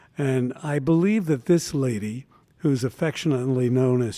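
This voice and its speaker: A man speaks with an American accent at a medium pitch. His tone is dark and mellow, with ordinary pitch variation. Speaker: podcast host. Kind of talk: casual interview.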